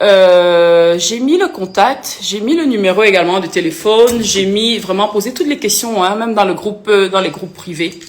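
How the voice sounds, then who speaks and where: Noticeable background noise sits under a woman speaking at a fairly slow pace with ordinary pitch variation. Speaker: influencer and author. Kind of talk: live stream Q&A with viewers. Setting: live video stream. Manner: animated.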